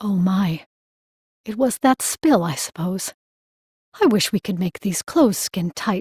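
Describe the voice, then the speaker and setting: In a put-on character voice, a female-sounding speaker talks quietly at a fairly slow pace, at a medium pitch, with long, frequent pauses. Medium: read story. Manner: dry, blunt.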